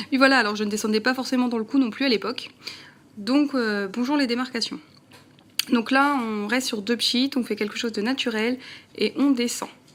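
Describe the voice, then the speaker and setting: Amid noticeable background noise, a woman with a high pitch talks at a moderate pace with fairly even intonation and long, frequent pauses. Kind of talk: casual talk to camera, makeup tutorial. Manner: chatty, friendly.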